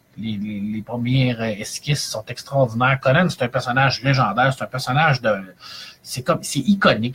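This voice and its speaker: In a Quebec accent, a man speaks at a medium pitch with ordinary pitch variation. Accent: Québécois French. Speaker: librarian and comics reviewer. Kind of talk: live-streamed review chronicle. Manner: animated, many hesitations.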